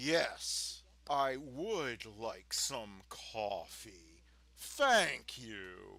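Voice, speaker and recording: In a put-on character voice, a man talks very slowly. His pitch sits at a medium level. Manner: threatening, menacing.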